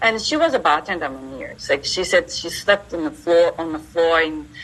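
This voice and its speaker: A woman speaks with a Japanese accent at a moderate pace, her pitch swinging very widely. Noticeable background noise sits behind her. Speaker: entrepreneur and university teacher. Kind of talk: interview.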